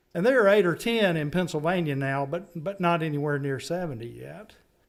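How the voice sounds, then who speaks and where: In a Southern US accent, a man with a high-pitched voice speaks at a moderate pace. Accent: Southern US accent, noticeable. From North Carolina. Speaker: stormwater funding consultant. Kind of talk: public meeting presentation.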